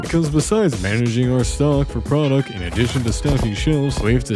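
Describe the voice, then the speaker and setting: Music in the background behind a man at a fairly quick pace, with very wide pitch swings. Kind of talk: comedic gameplay voiceover narration. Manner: chaotic, joking.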